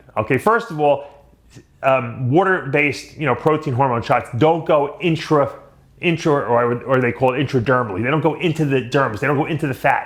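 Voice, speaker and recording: Speaking with a Long Island accent, a man uses a fairly high pitch and ordinary pitch variation. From Long Island, New York. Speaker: bodybuilding commentator. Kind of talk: casual rant to camera.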